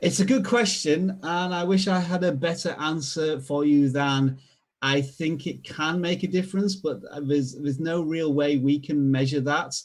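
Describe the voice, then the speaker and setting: A man speaks with a Yorkshire accent. His voice is fairly high, with ordinary pitch variation. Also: moderate pace. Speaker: video strategy expert. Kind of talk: tutorial. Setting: live stream.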